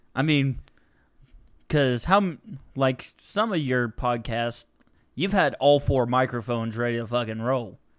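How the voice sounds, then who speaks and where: Speaking fairly slowly with a plain, everyday voice, a man keeps a medium pitch and ordinary pitch variation. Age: 20s. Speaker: guest, childhood friend of host. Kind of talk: casual chat. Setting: host's home.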